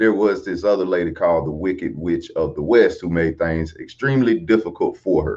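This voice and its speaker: Lively intonation marks this man's fairly low-pitched, ordinary speaking voice. He talks at a fairly quick pace. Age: 30s. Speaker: life coach. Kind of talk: casual talk to camera.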